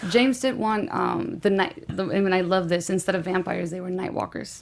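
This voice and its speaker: Moving at a fairly quick pace, a woman with a slight Guatemalan accent speaks at a medium pitch with ordinary pitch variation. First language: Spanish. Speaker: film director. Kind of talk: casual interview. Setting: studio.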